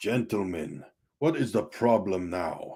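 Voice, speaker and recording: Doing a raspy put-on character voice, a man talks fairly slowly at a fairly low pitch with lively intonation. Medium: read story. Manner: formal, measured.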